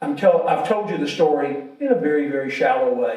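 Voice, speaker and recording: A man with a Southern US accent, with audible room echo. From Alabama. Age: 70s. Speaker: insurance entrepreneur. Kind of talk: invited talk.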